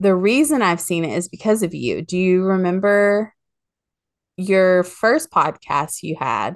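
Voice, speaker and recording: A woman in a plain, everyday voice, medium in pitch, at a fairly slow pace with lively intonation against a quiet background. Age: 30s. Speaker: podcast co-host. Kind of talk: casual chat.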